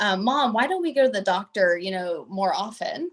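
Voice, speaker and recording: With a Texas accent, a woman speaks at a moderate pace and a medium pitch. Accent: Southern US (Texas). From US South, Southeast Texas. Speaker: pediatric doctor and researcher. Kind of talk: panel discussion.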